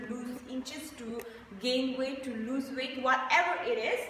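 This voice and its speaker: With audible room echo and light background noise, a woman speaks at a high pitch. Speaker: fitness instructor. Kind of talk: casual vlog chat. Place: gym. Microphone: camera far.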